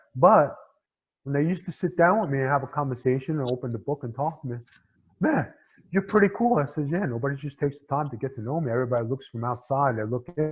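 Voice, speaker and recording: A somewhat breathy man at a medium pitch, very fast, with ordinary pitch variation. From New York City, Staten Island. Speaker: former pro wrestler and actor. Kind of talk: podcast interview. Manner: casual, filler-heavy.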